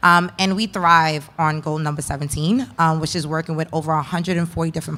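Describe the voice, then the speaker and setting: A woman speaks with an American accent. Her fairly low voice has a bright, sharp tone. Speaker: entrepreneur, panelist. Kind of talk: panel discussion.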